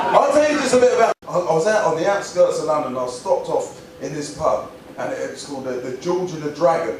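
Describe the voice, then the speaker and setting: A man with an Essex accent talks at a very fast pace, his loudness swinging widely over noticeable background noise. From England. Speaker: stand-up comedian and after-dinner speaker. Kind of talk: stand-up comedy set to a live audience.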